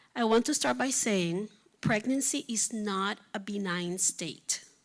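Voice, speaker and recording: In a very clean recording with a silent background, a woman with a Spanish accent speaks at a fairly high pitch with very wide pitch swings. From Puerto Rico. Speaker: physician. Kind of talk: reading aloud. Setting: stage with audience.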